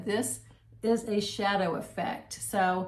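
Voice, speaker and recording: A woman talks at a medium pitch. Room echo is audible. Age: 60s. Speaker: makeup seller and tutorial host. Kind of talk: tutorial. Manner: casual, conversational with fillers.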